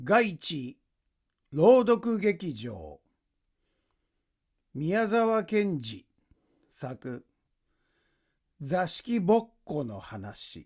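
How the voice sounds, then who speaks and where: On a very clean recording with a silent background, a man speaks at a very slow pace in a high voice, with very wide pitch swings, big swings in loudness, and long, frequent pauses. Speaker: actor. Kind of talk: story reading.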